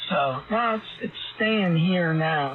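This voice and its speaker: Noticeable background noise sits behind a man speaking at a very slow pace. His voice is high, with ordinary pitch variation. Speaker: amateur radio operator. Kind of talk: casual chat. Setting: amateur radio contact.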